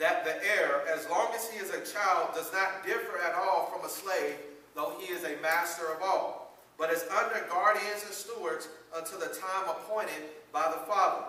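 A man talks at a moderate pace in a raised, projected voice with fairly even intonation. Audible room echo surrounds him. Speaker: preacher. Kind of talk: sermon. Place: church. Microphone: camera far.

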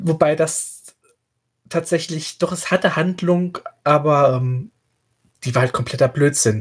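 Long pauses come often, interrupting delivery that is fairly slow. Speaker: podcast co-host. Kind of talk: casual book discussion.

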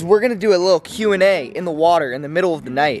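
Recorded with a dry sound with no echo over light background noise, a man's pitch swings very widely. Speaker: vlogger. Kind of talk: casual vlog chat. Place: garden. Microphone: phone near.

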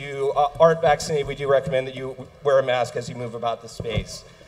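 At a fairly quick pace, a man delivers his words. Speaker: venue host making announcements. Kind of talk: event announcements to audience. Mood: warm, welcoming. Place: stage.

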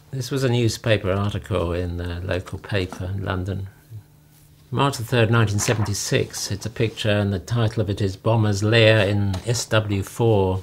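Speaking with an English accent, a man uses a fairly low pitch and fairly even intonation at a fairly slow pace, his voice somewhat breathy. Light background noise can be heard. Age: 70s. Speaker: retiree recounting his life story; interviewee. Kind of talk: memoir narration over photos. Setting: home. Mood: calm, reminiscing. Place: home room.

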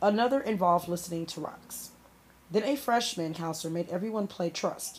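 Ordinary pitch variation in plain reading aloud.

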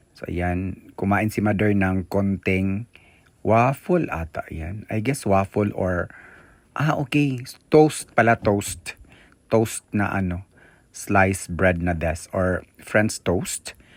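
At a very slow pace, the speech shows ordinary pitch variation. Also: man, fairly low pitch for a man. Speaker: vlogger. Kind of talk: vlog tour narration. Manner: animated.

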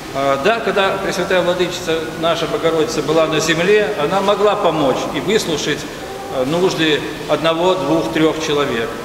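Amid noticeable background noise and audible room echo, a man speaks at a moderate pace with ordinary pitch variation and very even loudness. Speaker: parish priest. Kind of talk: sermon. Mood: warm, calm. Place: church.

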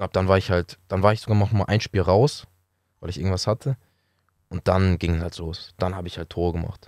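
Over a quiet background, a man with a very deep, low pitch talks at a fairly quick pace with fairly even intonation and a dry sound with no echo. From Hamburg, northern Germany; Germany. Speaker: professional footballer; podcast guest. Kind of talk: casual interview. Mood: calm, reflective storytelling. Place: studio. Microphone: studio mic.

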